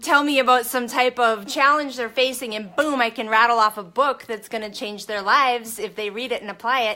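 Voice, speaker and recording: Shouting in a high pitch, a woman sounds energetic, with a bright, sharp tone and ordinary pitch variation. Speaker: network marketing coach. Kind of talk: motivational live stream talk. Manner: loud, shouting; energetic, fired up.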